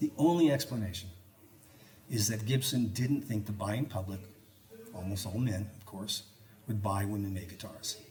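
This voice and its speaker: With noticeable background noise, a man speaks at a moderate pace and a fairly low pitch, pausing long and often, with ordinary pitch variation and big swings in loudness. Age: 70s. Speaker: researcher and lecturer on guitar history. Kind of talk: public talk to a live audience. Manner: animated, joking.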